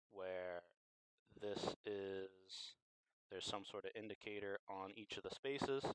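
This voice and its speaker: Over a dry, close sound with no echo, a man with a fairly low pitch speaks at a fairly slow pace, with fairly even intonation and long, frequent pauses. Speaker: game design livestream host. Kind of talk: livestream brainstorming monologue. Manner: mumbling at times; halting, thinking aloud.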